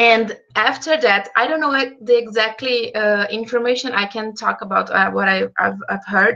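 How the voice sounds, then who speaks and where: A woman speaks at a moderate pace with a fairly high pitch, ordinary pitch variation and hardly any pauses, over noticeable background noise. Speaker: medical student, event moderator. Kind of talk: casual chat. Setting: video call. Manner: halting.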